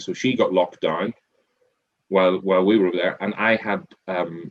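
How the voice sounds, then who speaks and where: The speaker is a man with an Irish accent. He keeps a moderate speed. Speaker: restaurant group CEO and former accountant. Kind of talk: interview. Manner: repetitive, halting with many false starts.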